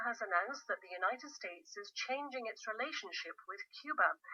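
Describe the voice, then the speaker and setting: A woman with a high pitch projects a raised voice at a fairly quick pace, her pitch swinging very widely. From Scotland. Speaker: newsreader. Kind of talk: radio news bulletin.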